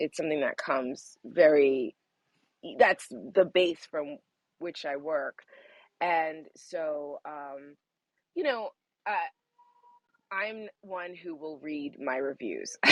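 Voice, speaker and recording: In an American accent, a woman speaks at a very slow pace with long, frequent pauses and a very deep, low pitch with ordinary variation. Her loudness swings widely, and the sound is dry and close with no echo. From New York, Jamaican parents. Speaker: audiobook narrator and actor. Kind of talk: interview.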